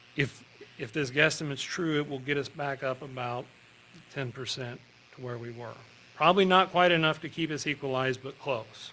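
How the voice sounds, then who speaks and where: Fairly high in pitch, a man speaks at a fairly quick pace. His pitch variation is ordinary, while his loudness swings widely. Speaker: school administrator presenting budget. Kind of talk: public budget hearing presentation. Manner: halting, many fillers and restarts; fast.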